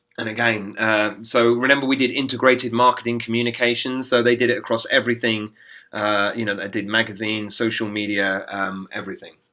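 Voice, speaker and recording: A man with an English accent speaks at a fairly quick pace with hardly any pauses, in a bright, sharp tone and monotone, flat intonation, on a very clean recording with a silent background. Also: medium pitch for a man. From England. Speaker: business school professor. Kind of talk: recorded lecture voiceover. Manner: hesitant, many fillers.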